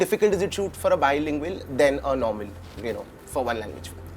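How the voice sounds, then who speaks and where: A man's voice over background music. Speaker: entertainment interviewer. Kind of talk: interview.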